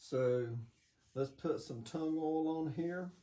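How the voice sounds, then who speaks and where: A man with a Southern US accent speaks in a dark, mellow tone that is somewhat breathy. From US South, Georgia. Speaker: woodturner. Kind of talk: tutorial. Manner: casual.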